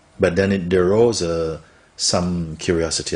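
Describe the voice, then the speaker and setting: A soft-spoken man with a very deep, low voice speaks with fairly even intonation. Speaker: spiritual teacher. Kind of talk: interview answer.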